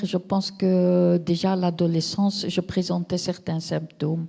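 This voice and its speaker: A woman's somewhat breathy, dark, mellow voice at medium pitch, with monotone, flat intonation and a very slow pace. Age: 60s. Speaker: patient giving testimony. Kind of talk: testimony. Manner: hesitant.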